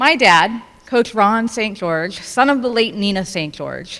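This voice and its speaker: Loud and fairly slow, a woman speaks at a fairly high pitch with lively intonation and a bright, sharp tone. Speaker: family member giving speech. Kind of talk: prepared speech.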